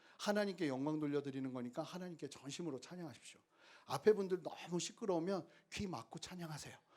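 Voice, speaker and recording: This is a man with a fairly high pitch. He speaks at a very fast pace. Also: ordinary pitch variation, big swings in loudness. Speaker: pastor. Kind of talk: sermon. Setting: small theater used as church, with audience. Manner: speeds up when children are loud.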